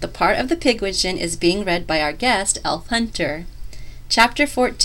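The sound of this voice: The speaker reads in an unforced voice.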